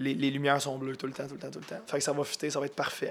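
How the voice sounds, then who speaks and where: This man's voice sits fairly high. He talks in a flat, monotone way. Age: 30s. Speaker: musician and brewery owner. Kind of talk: casual interview. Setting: host's kitchen.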